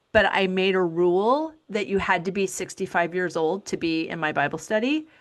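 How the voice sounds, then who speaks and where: A woman with a normal speaking voice talks at a moderate pace and medium pitch, her intonation lively against a quiet background. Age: 50s. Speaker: podcast host. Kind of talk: interview.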